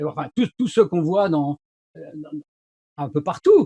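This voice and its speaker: An animated tone and lively intonation in a dry, close sound with no echo. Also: man. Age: 60s. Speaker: sales consultant and YouTuber. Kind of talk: casual interview chat.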